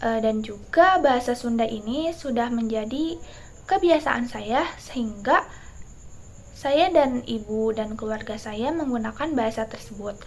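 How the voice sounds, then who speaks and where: With lively intonation and a fairly high pitch, a woman speaks at a fairly slow pace. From Indonesia, West Java (Bogor, Sundanese family). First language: Sundanese (speaking Indonesian). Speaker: university student. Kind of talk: class presentation. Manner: hesitant, many fillers.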